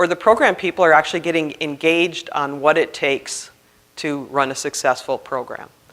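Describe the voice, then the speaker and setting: Someone speaks at a fairly quick pace with a Minnesota accent. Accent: Minnesota accent, still noticeable. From Minnesota, Duluth. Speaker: grants compliance trainer, CPA. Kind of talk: conference presentation.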